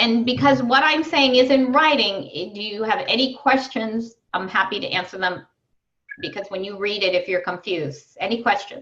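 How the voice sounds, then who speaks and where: With lively intonation and a fairly high pitch, a woman in an unremarkable speaking voice talks at a moderate pace. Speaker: wellness coach. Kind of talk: online group coaching call.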